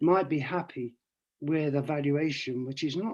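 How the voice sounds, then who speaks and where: A man with a plain, everyday voice, fairly high in pitch, with ordinary pitch variation and a fairly slow pace against a quiet background. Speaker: economist giving a talk. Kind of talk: online presentation with slides. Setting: video call.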